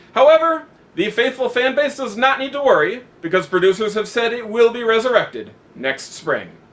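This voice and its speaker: A man with an extremely high pitch and very wide pitch swings, over noticeable background noise. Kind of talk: satirical news anchor banter, scripted comedy.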